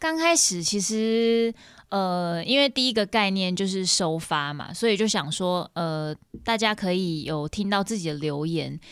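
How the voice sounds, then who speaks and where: On a very clean recording with a silent background, a woman with an ordinary speaking voice and medium pitch talks at a fairly slow pace with lively intonation. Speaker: singer-songwriter. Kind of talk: casual interview chat.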